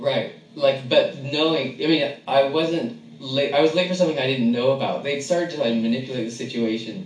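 A man with a fairly high pitch and ordinary pitch variation at a fairly quick pace, over noticeable background noise. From San Francisco. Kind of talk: casual chat.

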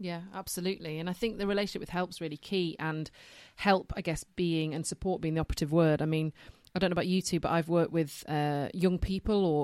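A woman with a Yorkshire accent speaks at a fairly quick pace in a very deep, low pitch. The recording is very clean, with a silent background. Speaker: social worker and podcast co-host. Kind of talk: casual chat.

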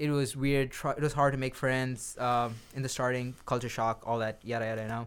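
A man speaks at a medium pitch and a fairly quick pace, his intonation flat and monotone. The recording is very clean, with a silent background. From Saudi Arabia, Indian family. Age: 20s. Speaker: podcast co-host. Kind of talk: casual chat.

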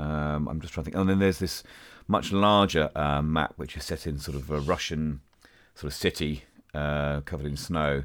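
With a very deep, low pitch, a man talks at a moderate pace and keeps his intonation fairly even. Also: very clean recording, silent background. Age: 40s. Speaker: podcast host. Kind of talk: casual chat.

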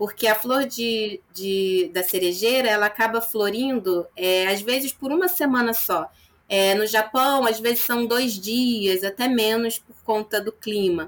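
A woman talks in an ordinary speaking voice, fairly high in pitch. Her pace is fairly slow, and her pitch varies in an ordinary way. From Nova Friburgo, Rio de Janeiro state, Brazil. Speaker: psychologist. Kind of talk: interview.

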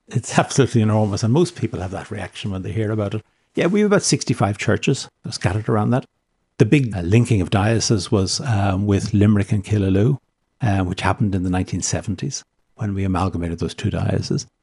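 A man talks at a very fast pace in a Dublin accent. His fairly low voice has a dark, mellow tone and sounds somewhat breathy. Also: ordinary pitch variation. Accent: Dublin Irish, educated. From South Dublin, Ireland. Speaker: bishop. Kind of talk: radio interview.

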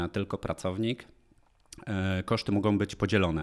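A man with an unremarkable speaking voice talks at a fairly low pitch with fairly even intonation, on a very clean recording with a silent background. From Lower Silesia, Poland (Polanica-Zdrój). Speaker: startup founder. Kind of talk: interview.

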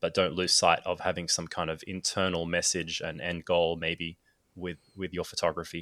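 In an Australian accent, a bright, sharp voice speaks with monotone, flat intonation at a moderate pace, recorded very cleanly against a silent background with a dry, close sound and no echo. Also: man, very deep, low pitch for a man. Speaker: photographer and filmmaker. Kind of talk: casual chat.

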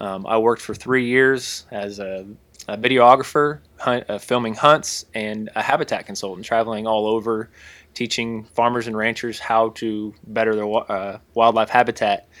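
A man with an Ozarks accent at a moderate pace, intonation fairly even. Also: medium pitch for a man. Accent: Ozarks US southern-midland. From Missouri/Arkansas Ozarks. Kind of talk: casual chat.

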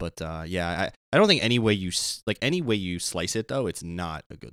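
A man talks with a very deep, low voice and lively intonation. The recording is very clean, with a silent background. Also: dry, close sound with no echo. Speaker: hockey podcast co-host. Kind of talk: casual chat. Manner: stumbling over words.

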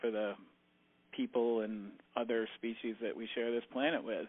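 Using an unremarkable speaking voice, a man keeps a medium pitch at a moderate pace. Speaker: farmer and tractor maintenance instructor. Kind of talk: casual interview. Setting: phone call. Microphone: clear phone audio.

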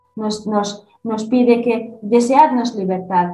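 Audible room echo surrounds a woman speaking at a fairly high pitch. Her pace is fairly slow. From Iranian Kurdistan. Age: 30s. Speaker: Kurdish-Iranian activist. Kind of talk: interview. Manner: halting.

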